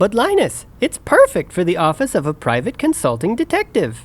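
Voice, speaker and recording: Someone speaks at a fairly quick pace in a put-on character voice with a middle pitch. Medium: audio drama.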